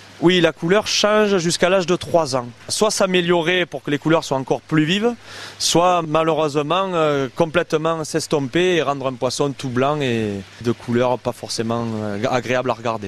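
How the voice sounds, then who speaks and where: Through noticeable background noise, a man with a fairly high pitch talks at a moderate pace with lively intonation. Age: 30s. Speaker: koi carp breeder and landscaper. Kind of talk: interview. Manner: hesitant, many fillers.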